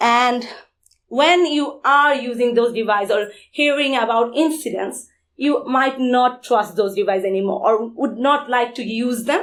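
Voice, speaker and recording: A woman speaks at a fairly slow pace with a Bengali accent, her pitch high and its variation ordinary. The recording is very clean, with a silent background. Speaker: security conference speaker. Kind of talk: conference talk.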